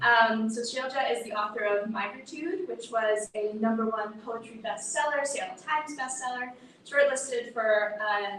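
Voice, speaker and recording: A woman with an American accent and a fairly high voice speaks at a moderate pace with ordinary pitch variation, and room echo is audible. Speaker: event host introducing readers. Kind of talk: formal event introduction.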